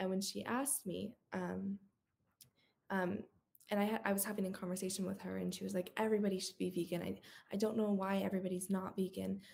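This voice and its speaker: A woman talks at a very fast pace with an American accent. Her medium-pitched voice is somewhat breathy, with monotone, flat intonation. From Northern California. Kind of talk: panel discussion.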